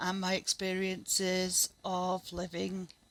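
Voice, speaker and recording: A woman's medium-pitched voice with a Northern English accent. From Northern England. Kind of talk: casual talk to camera.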